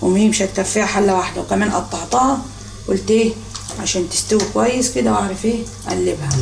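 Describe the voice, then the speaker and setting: With an Egyptian accent, a woman speaks at a fairly quick pace amid noticeable background noise and audible room echo. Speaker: home cooking vlogger. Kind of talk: cooking tutorial. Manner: casual, chatty.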